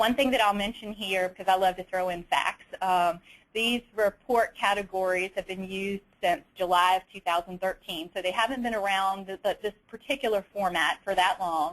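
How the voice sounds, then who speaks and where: Fairly even intonation in a Southern US accent, at a moderate pace with hardly any pauses. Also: woman, medium pitch for a woman. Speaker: state auditor, peer review committee member. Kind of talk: webinar presentation. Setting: webinar. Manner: many fillers and repetitions.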